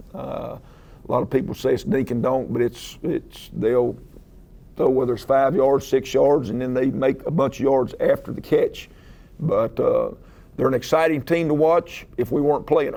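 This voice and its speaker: Moderate pace from a man, in a Southern US accent. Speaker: head football coach. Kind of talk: press conference. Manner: halting, many filler uhs.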